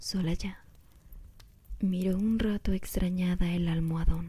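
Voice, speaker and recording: Soft-spoken and somewhat breathy, a woman talks at a very slow pace in a dark, mellow tone. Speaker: ASMR creator. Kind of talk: reading aloud.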